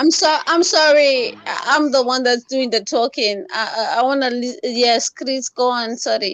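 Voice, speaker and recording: With a non-native accent, a woman speaks at a high pitch with lively intonation, at a fairly slow pace with hardly any pauses. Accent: noticeable foreign. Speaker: participant sharing loss experience. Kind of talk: group discussion on grief. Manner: emotional, frequent interjections.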